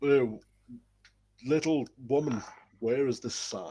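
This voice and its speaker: A put-on character voice from a man, medium in pitch, with fairly even intonation at a fairly slow pace. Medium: actual play.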